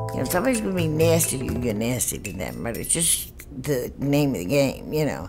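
Over clear music in the background, a woman with an American accent talks at a fairly quick pace. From New York. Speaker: assisted living resident. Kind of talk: testimonial interview answer. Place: home room.

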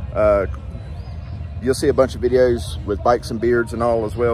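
Faint music plays in the background while a man talks fairly quickly. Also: dry sound with no echo. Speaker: vlogger. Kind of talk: casual vlog chat. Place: street. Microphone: phone near.

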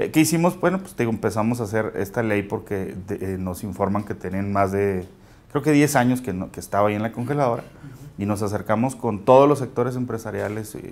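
A man with a northern Mexican accent, medium pitch and ordinary pitch variation, at a fairly quick pace. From Mexico, Chihuahua. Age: 30s. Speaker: local politician. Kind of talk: interview. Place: studio. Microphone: lapel.

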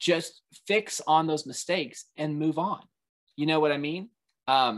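Against a quiet background, the speaker has an animated tone and a fairly slow pace. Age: 20s. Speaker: panelist on fan podcast; guest. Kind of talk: panel discussion. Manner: halting. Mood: opinionated, mildly heated. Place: home room. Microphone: video call.

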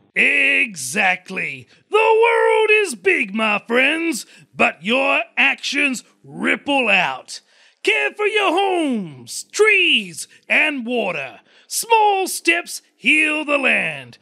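In a cartoonish character voice, a man speaks very slowly at an extremely high pitch. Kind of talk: children's puppet show. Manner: solemn, earnest.

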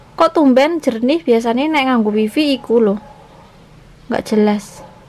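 A woman's fairly high voice with ordinary pitch variation, a slightly mellow tone and a moderate pace

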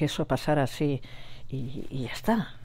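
This woman's voice sits very deep and low for a woman. Her tone is dark and mellow. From Basque Country, Gipuzkoa; Basque Country. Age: 60s. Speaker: nurse and Sahrawi cause activist; interviewee. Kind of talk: interview testimony. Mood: earnest, emotional recollection. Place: home room.

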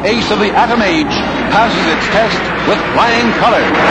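Loud background noise, a fairly slow pace, and a dry sound with no echo. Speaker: newsreel narrator. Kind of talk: newsreel narration. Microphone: old recording.

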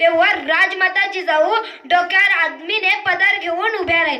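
The voice is raised and projected, with a passionate tone and ordinary pitch variation. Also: woman. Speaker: devotional lecturer and public speaker on Shivaji. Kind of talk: dramatic storytelling speech about a queen mother. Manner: passionate, emphatic, oratorical.

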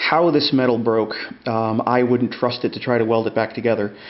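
A man talks at a moderate pace, with audible room echo in the recording.

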